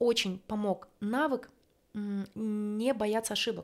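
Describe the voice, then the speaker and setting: A woman's voice, fairly high in pitch and showing ordinary pitch variation, comes through on a very clean recording against a silent background. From small eastern ethnic group. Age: 30s. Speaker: podcast co-host, migrant. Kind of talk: casual chat.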